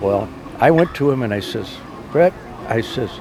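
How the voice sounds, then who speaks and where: A man with an American accent talks with lively intonation at a moderate pace, noticeable background noise audible around him. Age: 80s+. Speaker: car owner. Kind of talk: casual interview.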